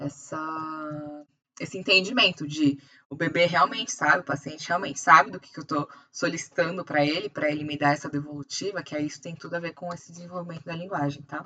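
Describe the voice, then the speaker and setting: A woman's very deep, low voice at a fairly quick pace, fairly even in intonation but with big swings in loudness. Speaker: optometrist teacher. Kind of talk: lecture. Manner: fast.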